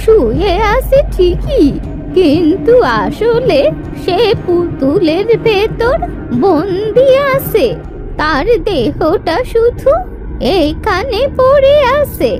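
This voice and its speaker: An extremely high-pitched cartoonish character voice speaks at a very slow pace over loud music in the background. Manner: knowing, calm.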